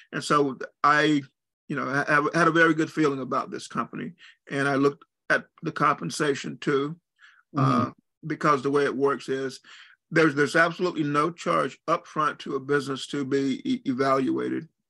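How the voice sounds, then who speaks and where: A man's fairly high, bright, sharp voice with vocal fry, fairly even intonation, a fairly quick pace and long, frequent pauses. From US South. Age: 60s. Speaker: entrepreneur and retired military navigator. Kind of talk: interview. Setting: call. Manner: halting.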